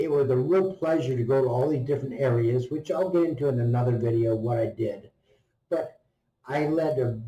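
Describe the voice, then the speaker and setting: This man has a somewhat breathy voice with a dark, mellow tone at medium pitch. He speaks at a moderate pace with ordinary pitch variation. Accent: American. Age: 70s. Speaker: retired travel vlogger. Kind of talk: unscripted vlog narration. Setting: hotel gym. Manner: casual, with fillers.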